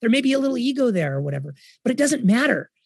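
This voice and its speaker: A man speaks in an enthusiastic tone. His pitch swings very widely. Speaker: entrepreneur. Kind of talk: interview conversation.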